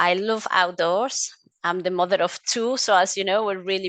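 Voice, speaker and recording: With a Mexican accent, a woman speaks at medium pitch and with fairly even intonation against a quiet background. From Mexico. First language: Spanish. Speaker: essential oils advocate. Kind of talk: interview conversation. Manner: hesitant, with fillers.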